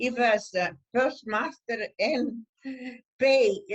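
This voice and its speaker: Here a woman speaks with an Italian accent. Her pitch varies in an ordinary way. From northern Italy. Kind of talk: interview answer.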